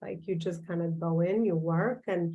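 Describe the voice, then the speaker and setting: A woman speaks in an Albanian accent with a fairly low pitch. Her delivery is moderately paced, with monotone, flat intonation. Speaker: business coach and author. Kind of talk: virtual talk. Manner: halting, many fillers.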